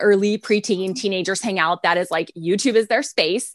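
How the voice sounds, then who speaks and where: An American accent marks this woman's ordinary speaking voice, medium in pitch and fairly quick, recorded dry and close with no echo against a quiet background. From Texas, San Antonio. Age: 30s. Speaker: ministry founder and author. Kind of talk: interview.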